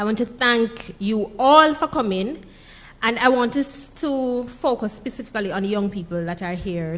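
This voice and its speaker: A woman with a Jamaican accent and a fairly high pitch. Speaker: entrepreneur and speaker. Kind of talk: conference talk. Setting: stage with audience. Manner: conversational.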